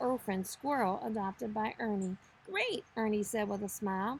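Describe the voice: Plain reading aloud with ordinary variation in pitch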